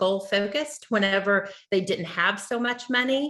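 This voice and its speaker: The tone is bright and sharp, delivered at a moderate pace with ordinary pitch variation. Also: woman. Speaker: state education official. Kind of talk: webinar presentation.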